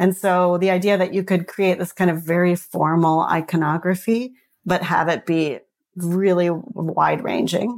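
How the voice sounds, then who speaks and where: With an American accent, this is an unremarkable speaking voice at a moderate pace, with very even loudness and fairly even intonation, recorded very cleanly against a silent background. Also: woman, fairly low pitch for a woman. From New York and Paris, then US. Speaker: designer, design studio co-founder. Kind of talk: interview conversation.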